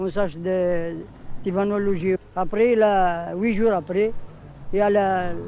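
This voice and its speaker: A man speaks at a very slow pace with long, frequent pauses. His high-pitched voice has a dark, mellow tone and a flat, monotone delivery. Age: 60s. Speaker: immigrant worker, housing protester. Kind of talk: interview testimony. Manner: halting.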